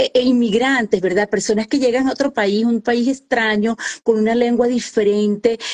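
Speaking at a moderate pace with hardly any pauses, a woman with a fairly high voice keeps her intonation fairly even and her loudness very even, in a dry, close sound with no echo. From Colombia, Caribbean coast (Santa Marta). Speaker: author and women's coach. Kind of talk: interview.

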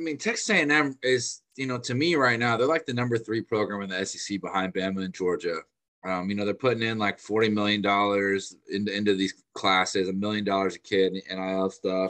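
Speaking at a fairly quick pace, a man with a fairly low pitch and ordinary pitch variation has an ordinary speaking voice. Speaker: sports analyst. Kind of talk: casual sports analysis chat. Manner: casual, filler-heavy, conversational.

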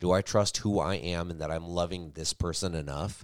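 At a fairly slow pace, a man speaks with a very deep, low pitch and fairly even intonation. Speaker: podcast co-host. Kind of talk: casual chat. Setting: home studio, recorded for livestream.

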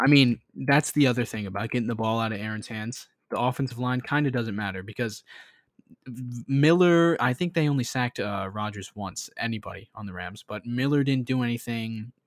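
Speaking fairly quickly with an American accent, a man is heard on a very clean recording against a silent background. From Florida. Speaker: podcast host, football fan. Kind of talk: casual sports chat podcast.

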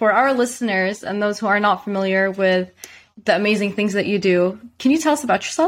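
Speaking in a normal speaking voice, a woman keeps a moderate pace and lets her pitch vary in an ordinary way. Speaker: podcast host. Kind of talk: casual interview chat.

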